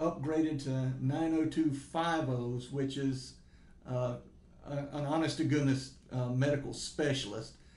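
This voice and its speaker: A man speaks in a monotone, flat intonation. Audible room echo fills the recording. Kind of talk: interview answer. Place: meeting room.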